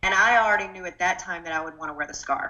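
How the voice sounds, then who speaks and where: Talking at a very fast pace, a woman with an Arkansas accent has a fairly low pitch. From Arkansas, US South. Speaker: political candidate. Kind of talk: interview.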